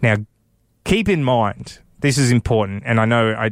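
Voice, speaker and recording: Someone speaks with an Australian accent on a very clean recording with a silent background. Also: man. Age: 30s. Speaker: radio host. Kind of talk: casual chat. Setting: studio.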